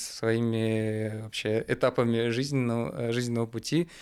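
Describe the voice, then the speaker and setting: A man's voice sits at a medium pitch as he talks at a moderate pace. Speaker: podcast host. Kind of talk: casual chat.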